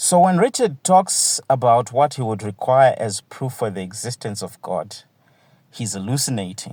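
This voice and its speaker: A man's somewhat breathy, medium-pitched voice with a dark, mellow tone, lively intonation, big swings in loudness and a moderate pace. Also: dry, close sound with no echo. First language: not English. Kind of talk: televised panel debate.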